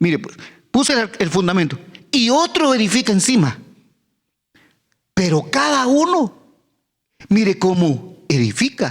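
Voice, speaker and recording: The speech has very wide pitch swings at a fairly slow pace. Long pauses come often. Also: man, high pitch for a man. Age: 70s. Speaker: pastor. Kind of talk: sermon. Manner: halting, many repetitions.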